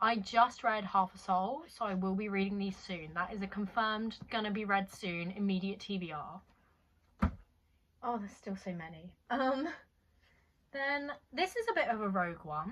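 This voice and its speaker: A woman speaks at a medium pitch with a British accent. Her pitch varies in an ordinary way. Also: moderate pace. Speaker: booktuber. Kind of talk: casual book haul vlog.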